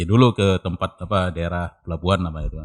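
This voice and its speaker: A man speaks in a very deep, low voice with fairly even intonation. The recording is very clean, with a silent background and a dry, close sound free of echo. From North Sumatra, Indonesia (Medan/Belawan, Tarutung). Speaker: cultural researcher. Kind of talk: casual interview. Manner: halting.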